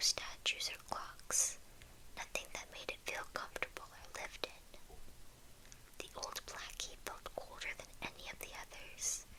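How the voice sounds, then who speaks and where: A woman whispers at a fairly slow pace, with big swings in loudness. Noticeable background noise is present. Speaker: ASMR creator. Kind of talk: reading aloud. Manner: whispering.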